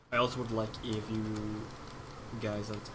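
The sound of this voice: In a Swedish accent, a man speaks at a fairly slow pace. His pitch sits in the medium range.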